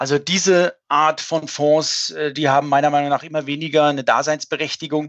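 A man with an ordinary speaking voice talks at a moderate pace in a fairly high pitch. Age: 50s. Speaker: fund manager. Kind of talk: podcast discussion.

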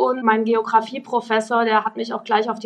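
With an ordinary speaking voice, a woman talks at a fairly quick pace and a fairly high pitch. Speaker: electric rally founder. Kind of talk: casual interview.

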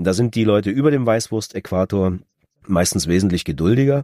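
This very clean recording with a silent background captures a man speaking with lively intonation. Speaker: audiobook narrator. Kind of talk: casual chat.

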